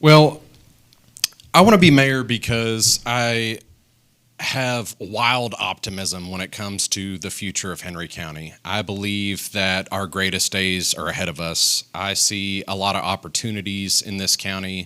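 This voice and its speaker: Over a very clean recording with a silent background, a voice with a Tennessee accent and a bright, sharp tone moves at a fairly slow pace. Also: man, fairly low pitch for a man, ordinary pitch variation, big swings in loudness. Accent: Southern US (Tennessee). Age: 40s. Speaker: political candidate, business owner. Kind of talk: candidate forum. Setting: studio with audience.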